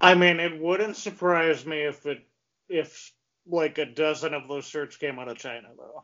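An unremarkable speaking voice from a man, fairly high in pitch, fairly even in intonation, at a moderate pace with big swings in loudness. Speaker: podcast host. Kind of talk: casual interview. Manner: casual, many fillers. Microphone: too close to the mic, choppy at start.

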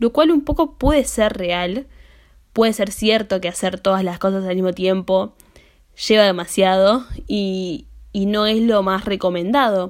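On a very clean recording with a silent background, a woman with an ordinary speaking voice talks at a fairly slow pace, her medium pitch showing ordinary variation. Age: 20s. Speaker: podcaster. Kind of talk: solo monologue podcast.

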